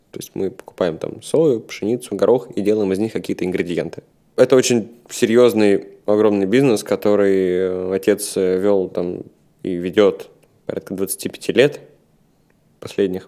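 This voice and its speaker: Speaking at a fairly slow pace, a man uses a fairly low pitch with a dark, mellow tone, ordinary pitch variation and big swings in loudness. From Russia, Saint Petersburg. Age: 30s. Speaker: food company co-founder. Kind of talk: interview.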